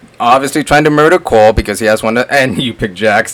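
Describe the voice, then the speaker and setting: A man talks at medium pitch. Noticeable background noise is present. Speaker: gaming and movie reviewer. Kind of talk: casual chat. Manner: animated.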